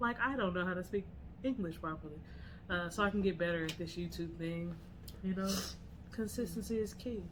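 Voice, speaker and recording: A woman talks at a fairly quick pace, with long, frequent pauses. Audible room echo surrounds her voice. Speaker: podcast co-host. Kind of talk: casual chat.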